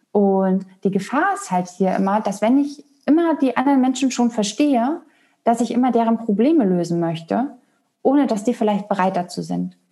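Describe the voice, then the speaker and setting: Somewhat breathy and dark, mellow in tone, a woman speaks at a fairly high pitch with lively intonation. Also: moderate pace. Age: 30s. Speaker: human design coach. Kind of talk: interview.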